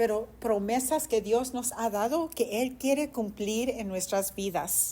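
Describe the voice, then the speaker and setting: A woman talks at a fairly slow pace with a high pitch, lively intonation and a dark, mellow tone. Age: 60s. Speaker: pastor. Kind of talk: sermon.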